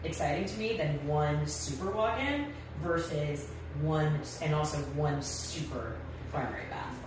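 A woman with a low pitch makes big pitch swings amid audible room echo and clear background noise.

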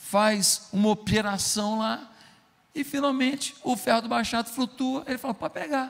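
Extremely high-pitched, a man speaks at a fairly slow pace in an animated tone with ordinary pitch variation. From Taubaté, São Paulo state, Brazil; São Paulo state, Brazil. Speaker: pastor. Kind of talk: sermon. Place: stage. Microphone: handheld.

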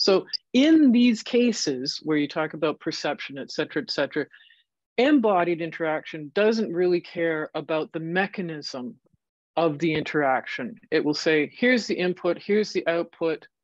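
A woman with an unremarkable speaking voice talks at a moderate pace, fairly low in pitch with lively intonation, in dry sound with no echo over a quiet background. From Canada. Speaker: computer science professor. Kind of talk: lecture. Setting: video call. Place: office. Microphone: webcam.

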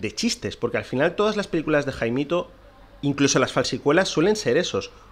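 Lively intonation in a man's fairly high-pitched voice. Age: 30s. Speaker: film podcast host. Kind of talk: solo podcast monologue. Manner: halting.

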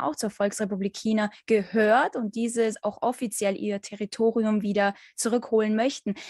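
A somewhat breathy woman at fairly high pitch, over a quiet background. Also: dry sound with no echo. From Ukraine. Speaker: interviewer. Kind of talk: interview. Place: home room. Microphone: video call.

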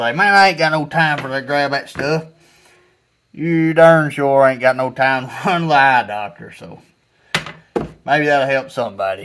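A man speaks at a moderate pace. His pitch varies in an ordinary way over light background noise. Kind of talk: casual workshop tutorial chat. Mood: earnest safety advice. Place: garden.

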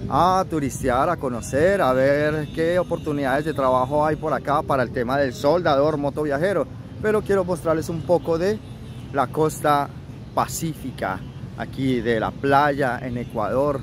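Amid noticeable background noise, a man speaks at a fairly slow pace with ordinary pitch variation, the sound dry with no echo. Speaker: travelling motorcyclist vlogger. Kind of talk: casual vlog chat. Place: beach. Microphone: phone near.

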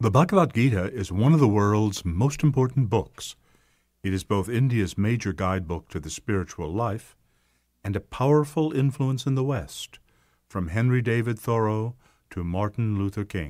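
A man with an unremarkable speaking voice and fairly low pitch speaks at a moderate pace with lively intonation in a very clean recording with a silent background. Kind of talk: book foreword narration.

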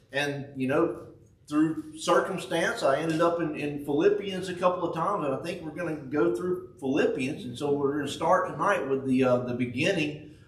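A man's voice amid light background noise, with audible room echo. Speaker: preacher. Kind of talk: sermon. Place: church. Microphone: camera far.

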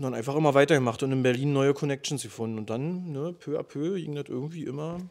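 With hardly any pauses, a man talks at a very fast pace in a fairly high voice with ordinary pitch variation. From Brandenburg, Germany. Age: 30s. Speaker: rapper and nurse. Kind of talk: casual interview.

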